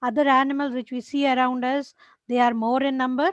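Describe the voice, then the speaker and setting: A woman's high-pitched voice in a monotone, flat intonation. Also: dry, close sound with no echo. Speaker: teacher. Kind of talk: lecture. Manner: slow.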